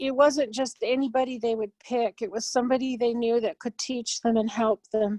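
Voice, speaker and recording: Pitched fairly high, a woman speaks at a moderate pace in a plain, everyday voice. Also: dry, close sound with no echo. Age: 60s. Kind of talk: cultural storytelling talk. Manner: casual, with fillers and self-corrections.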